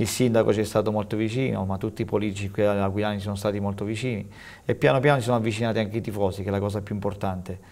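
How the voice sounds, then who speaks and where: The man's pitch is fairly low. His intonation stays fairly even. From Abruzzo. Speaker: football coach. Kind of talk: TV interview. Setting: TV studio. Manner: halting, repeats words. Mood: calm, reflective. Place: studio.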